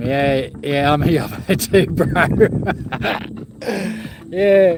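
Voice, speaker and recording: Very slow speech in an Australian accent, with noticeable background noise. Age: 50s. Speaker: vlogger. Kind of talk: casual live stream talk. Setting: outdoors. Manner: rambling, casual.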